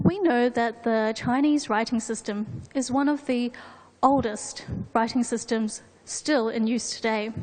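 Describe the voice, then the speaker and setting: Amid noticeable background noise, a woman with a high pitch and ordinary pitch variation talks at a fairly slow pace. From New Zealand. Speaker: presenter. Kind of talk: formal presentation. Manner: formal.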